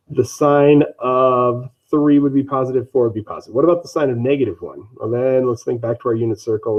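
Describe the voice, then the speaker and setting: At a fairly quick pace with hardly any pauses, a man talks at a medium pitch with fairly even intonation. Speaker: math teacher. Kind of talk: lecture. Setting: online live stream. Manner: fast.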